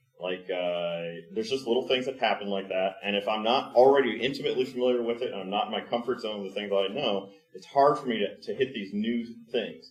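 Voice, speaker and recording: A man's very fast speech at a medium pitch. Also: ordinary pitch variation. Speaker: conference speaker. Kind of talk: conference talk.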